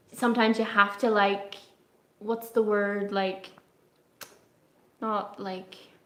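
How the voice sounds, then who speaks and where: Speaking at a very slow pace with long, frequent pauses, a woman keeps a medium pitch and a monotone, flat intonation. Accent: strong Irish. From Ireland. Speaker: travel vlogger. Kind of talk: casual live stream chat. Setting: live stream, quiet room.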